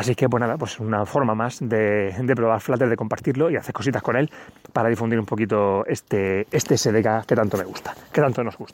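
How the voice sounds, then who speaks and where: A man speaks at a fairly quick pace in a plain, everyday voice, medium in pitch with ordinary pitch variation. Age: 30s. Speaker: podcast host. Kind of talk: solo tech podcast monologue. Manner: casual, with many fillers.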